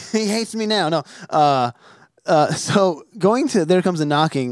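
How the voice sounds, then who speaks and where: A man with an American accent and a plain, everyday voice, lively in intonation, at a fairly slow pace, in a dry, close sound with no echo. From New Jersey. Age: 30s. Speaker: podcast host. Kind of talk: casual interview chat. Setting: remote call.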